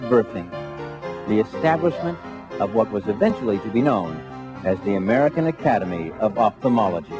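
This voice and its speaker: A man speaks at a fairly quick pace with very wide swings in pitch. Music plays in the background. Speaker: voice actor. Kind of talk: corporate narration. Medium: voice reel.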